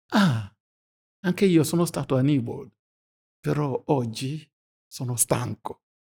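Speaking very slowly with long, frequent pauses, a man with a non-native accent has a fairly high pitch, a dark, mellow tone, a somewhat breathy quality and lively intonation, heard in a dry, close sound with no echo. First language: not Italian (speaking Italian). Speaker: pastor. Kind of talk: personal testimony.

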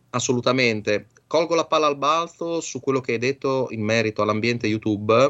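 Speaking at a fairly quick pace with hardly any pauses, a man uses a medium pitch and ordinary pitch variation. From Bologna, northern Italy. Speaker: electronics engineer and radio amateur. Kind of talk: radio interview.

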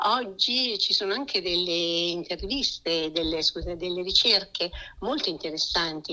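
Over noticeable background noise, a woman speaks at a fairly slow pace in a medium pitch with ordinary pitch variation. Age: 60s. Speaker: website founder. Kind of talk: interview. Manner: halting.

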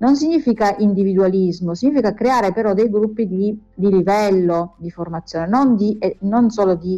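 The tone is dark and mellow. It comes from a woman at a medium pitch. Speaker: educator and music school director. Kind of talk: interview. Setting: remote live stream link.

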